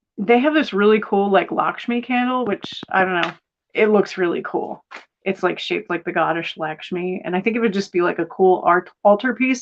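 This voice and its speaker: A woman speaks at medium pitch with ordinary pitch variation. Hers is an ordinary speaking voice. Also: moderate pace. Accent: American. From United States. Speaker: tarot reader. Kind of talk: live-stream tarot reading. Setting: spare bedroom live stream. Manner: casual, filler-heavy.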